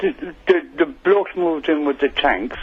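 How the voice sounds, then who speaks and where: A man with an Irish accent speaks with very wide pitch swings. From Ireland. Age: 60s. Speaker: caller. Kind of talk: radio phone-in argument. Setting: phone call.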